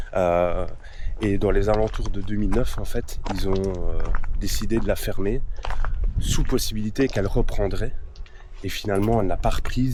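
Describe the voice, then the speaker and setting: A man's speech carries audible room echo and noticeable background noise. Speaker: urban explorer vlogger. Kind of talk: casual vlog narration. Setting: outdoors at abandoned factory.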